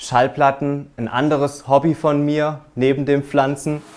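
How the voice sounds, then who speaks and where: A man with an Alemannic accent speaks at a very slow pace. His voice is fairly high. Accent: Alemannic dialect from near the Swiss border. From German-Swiss border region (southern Baden). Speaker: home owner giving a room tour. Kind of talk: home tour presentation. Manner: animated.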